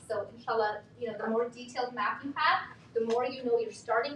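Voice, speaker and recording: Over noticeable background noise, a woman speaks at a fairly quick pace with a fairly high pitch. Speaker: workshop facilitator, mental health educator. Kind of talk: workshop talk. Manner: animated.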